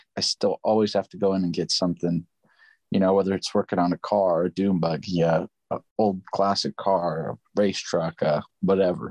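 A man with an American accent and an unremarkable speaking voice talks fairly quickly at a fairly low pitch. The sound is dry and close with no echo, over a quiet background. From Upland, California. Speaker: full-time worker. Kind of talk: casual chat.

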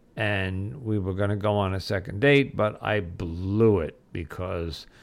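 This man has an unremarkable speaking voice, fairly low in pitch. His intonation is fairly even. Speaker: podcast host. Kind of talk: solo podcast monologue, angry rant about Valentine's Day and work. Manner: conversational, stumbling with filler words.

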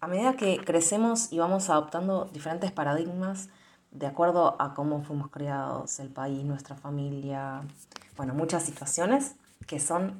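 A woman speaks at a fairly slow pace with a fairly low pitch. It is an ordinary speaking voice with ordinary pitch variation. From Argentina. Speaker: belly dance teacher and podcaster. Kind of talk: casual monologue; guided meditation.

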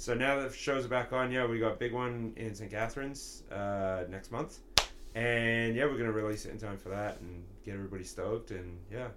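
Audible room echo surrounds a man speaking at a fairly quick pace. His medium-pitched voice keeps a fairly even intonation. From London, England. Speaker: musician. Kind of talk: casual chat.

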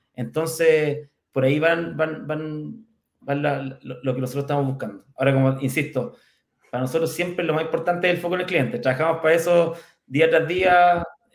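Someone with a Chilean accent speaks at a moderate pace with ordinary pitch variation. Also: man, fairly high pitch for a man. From Chile, Curicó. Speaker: fintech company executive. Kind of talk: interview. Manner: halting, many repetitions.

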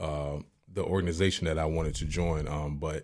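A man with a very deep, low pitch at a moderate pace, in a very clean recording with a silent background. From Virginia, Newport News. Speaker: entrepreneur, former college athlete. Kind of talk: casual interview.

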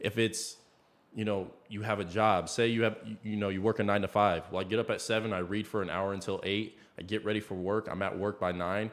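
A man's fairly low, monotone, flat voice at a fairly quick pace, with an American accent, on a very clean recording with a silent background. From Iowa, US Midwest. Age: 20s. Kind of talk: casual faith discussion.

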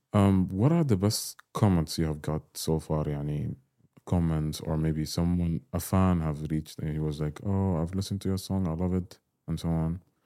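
Against a silent background on a very clean recording, a man with an Arabic accent speaks at a moderate pace in a very deep, low voice, dark and mellow in tone with fairly even intonation. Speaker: podcast host. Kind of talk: casual interview.

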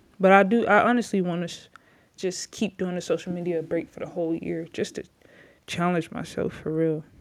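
A woman speaks at a fairly quick pace with a fairly low pitch and fairly even intonation. Her loudness swings widely on a very clean recording with a silent background. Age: 20s. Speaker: former basketball player, podcaster. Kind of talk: casual personal testimony to camera. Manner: casual with filler words and laughs.

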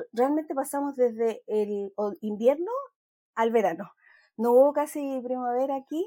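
A woman with a high-pitched voice and a dark, mellow tone uses ordinary pitch variation and leaves long, frequent pauses. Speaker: knitting podcast host. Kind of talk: casual chat.

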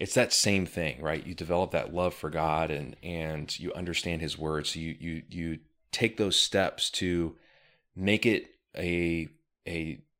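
In an American accent, a man speaks at a fairly slow pace with a very deep, low pitch and ordinary pitch variation, on a very clean recording with a silent background. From California, US. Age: 30s. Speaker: real estate entrepreneur, former firefighter. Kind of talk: casual interview.

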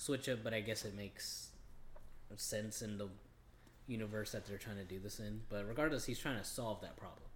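A man speaks at a fairly quick pace with a normal speaking voice. His pitch is fairly low and his intonation fairly even. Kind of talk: casual podcast chat.

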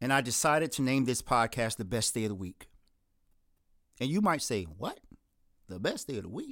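On a very clean recording with a silent background, a man with a medium-pitched voice speaks with long, frequent pauses. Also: lively intonation, fairly quick pace. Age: 40s. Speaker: podcast host. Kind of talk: solo monologue introduction.

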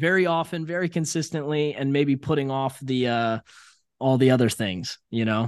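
In an American accent, a man with a plain, everyday voice speaks at a fairly high pitch and a moderate pace. His pitch varies in an ordinary way, and the background is quiet. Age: 30s. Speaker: entrepreneur and sales coach. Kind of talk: casual interview chat. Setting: remote call from his apartment.

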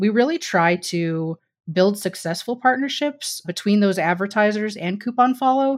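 A woman with an American accent, lively intonation and a moderate pace in a very clean recording with a silent background. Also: medium pitch for a woman. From Missouri. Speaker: partnerships director. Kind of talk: casual chat.

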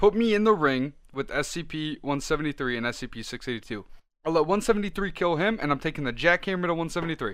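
Here is a man talking at a very fast pace. His fairly high pitch moves with lively intonation. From Italian heritage. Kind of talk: casual chat.

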